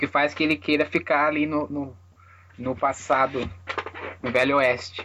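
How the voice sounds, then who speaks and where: Fairly slow speech with long, frequent pauses. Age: 20s. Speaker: podcast host. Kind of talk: casual chat.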